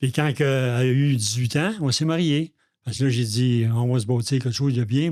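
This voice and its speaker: A Quebec accent at a moderate pace, ordinary pitch variation and a very clean recording with a silent background. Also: man. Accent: Québécois French. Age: 70s. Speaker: recovering alcoholic, father of the co-host. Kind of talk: personal testimony in podcast interview.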